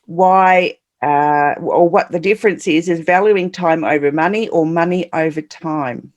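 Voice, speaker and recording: Australian-accented speech from a woman. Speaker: podcast host. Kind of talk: interview.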